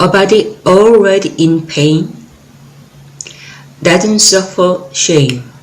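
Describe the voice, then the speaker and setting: The speech has a Korean accent and a very slow pace, with long, frequent pauses. Noticeable background noise is present. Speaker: poet. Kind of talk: poetry reading.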